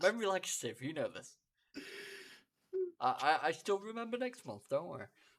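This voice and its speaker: A man with a high voice talks at a fairly quick pace, his loudness swinging widely and his intonation lively, broken by long, frequent pauses. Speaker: podcast co-host. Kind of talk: casual chat. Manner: normal volume, fluent here.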